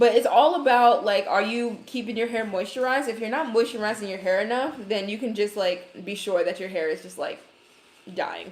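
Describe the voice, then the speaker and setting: A woman with a slight Brooklyn accent, fairly high-pitched, with ordinary pitch variation and a fairly quick pace. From Brooklyn, New York. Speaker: hair care creator. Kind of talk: livestream hair tutorial. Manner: casual, chatty.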